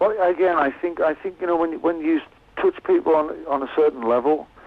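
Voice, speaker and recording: A man speaks at a fairly high pitch with lively intonation. Noticeable background noise is present. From West Cumbria, northern England. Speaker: musician. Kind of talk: radio interview. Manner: halting, many repeated words.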